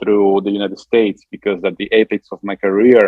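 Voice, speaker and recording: With an Italian accent, a man talks at a very fast pace in a fairly low pitch. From Italy. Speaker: musician and Italian diction coach. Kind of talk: interview. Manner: halting.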